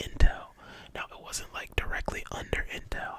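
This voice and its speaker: Whispering in a calm tone, a man speaks over noticeable background noise. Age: young. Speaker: ASMR creator. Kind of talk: ASMR whispered storytime. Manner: whispered, soft-spoken, calm.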